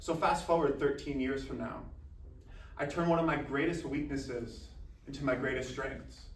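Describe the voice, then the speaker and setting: Audible room echo around a man's voice with fairly even intonation. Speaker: college athlete and motivational speaker. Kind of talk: motivational speech. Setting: speaking to a university club. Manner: formal.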